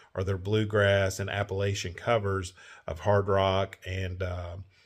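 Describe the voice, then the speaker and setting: In a Kentucky accent, a man speaks with a fairly low pitch and a somewhat breathy voice. His intonation is monotone and flat, on a very clean recording with a silent background. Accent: Kentucky Southern. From Kentucky, Owensboro. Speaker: travel vlogger. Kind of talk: casual chat. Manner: relaxed, many fillers.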